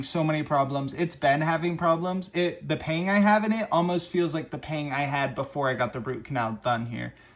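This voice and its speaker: Speaking at a fairly quick pace with an American accent, a man has a plain, everyday voice, a fairly high pitch and ordinary pitch variation. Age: 20s. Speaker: vlogger. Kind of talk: casual monologue. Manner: casual, conversational.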